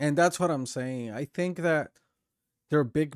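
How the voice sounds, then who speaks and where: A man with a non-native accent and lively intonation, in a dry, close sound with no echo on a very clean recording with a silent background. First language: not English. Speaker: streamer. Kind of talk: live stream reaction commentary. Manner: halting, many fillers and restarts.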